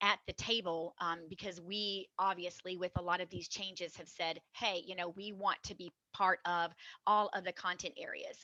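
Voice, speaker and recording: The bright, sharp voice swings widely in loudness, with a dry, close sound and no echo. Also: woman, medium pitch for a woman, fairly even intonation. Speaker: health educator. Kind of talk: presentation. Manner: fast.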